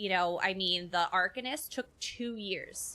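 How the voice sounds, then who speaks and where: A woman with a bright, sharp tone at medium pitch, on a very clean recording with a silent background. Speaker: game streamer. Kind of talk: casual chat. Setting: live stream. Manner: halting, repeats words.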